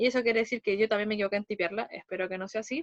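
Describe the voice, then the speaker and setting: A woman's voice, dry and close with no echo. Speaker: math teacher. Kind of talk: lecture.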